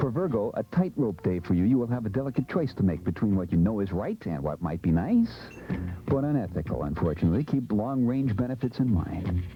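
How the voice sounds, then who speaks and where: A man's fairly low voice with lively intonation at a fairly quick pace, music playing in the background. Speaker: radio disc jockey. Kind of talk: radio horoscope segment. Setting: radio studio.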